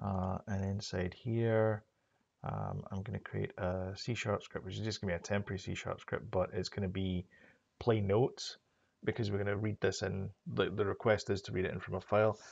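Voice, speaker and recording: Fairly low in pitch, a man talks at a fairly quick pace. His intonation is monotone and flat over a quiet background. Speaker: programming tutorial creator; programming tutor. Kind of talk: tutorial. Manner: hesitant, many fillers. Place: home room.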